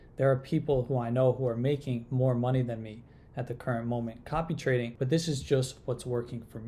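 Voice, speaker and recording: A man's somewhat breathy, dark, mellow voice at medium pitch, monotone and flat, at a fairly quick pace with hardly any pauses, in a very clean recording with a silent background. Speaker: crypto trading tool developer and youtuber. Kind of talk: tutorial.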